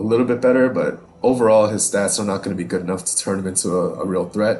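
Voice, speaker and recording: Music plays in the background as a man talks fairly quickly at a fairly low pitch with fairly even intonation. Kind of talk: casual gaming commentary. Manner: casual, hesitant with fillers.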